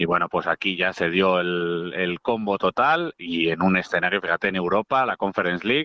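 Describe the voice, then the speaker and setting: Delivery comes at a moderate pace with hardly any pauses. Loudness stays very even, with ordinary pitch variation. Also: man, very deep, low pitch for a man. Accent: Madrid. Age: 40s. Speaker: football radio commentator. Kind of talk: casual chat.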